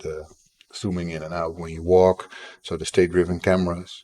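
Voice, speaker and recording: A man with a Dutch accent speaks at a moderate pace in a very deep, low voice. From Netherlands. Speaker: indie game developer and streamer. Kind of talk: live stream chat while coding.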